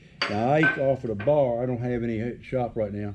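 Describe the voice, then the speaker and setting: A man talks with a Southern US accent at a medium pitch. His pitch varies in an ordinary way. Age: 70s. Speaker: farmer and shop builder. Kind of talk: casual chat.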